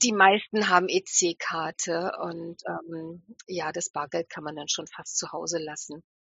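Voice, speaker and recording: A woman's fairly low voice at a very slow pace, with fairly even intonation and big swings in loudness. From northern Hesse, Germany. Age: 50s. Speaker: hand-dyer, festival organizer. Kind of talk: casual interview.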